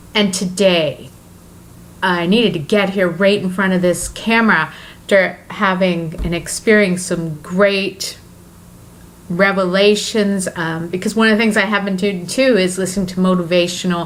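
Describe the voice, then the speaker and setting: At a moderate pace, a woman talks at a medium pitch with fairly even intonation, and there is audible room echo. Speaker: self-help vlogger. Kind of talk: motivational vlog monologue. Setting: talking to camera. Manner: halting, many fillers.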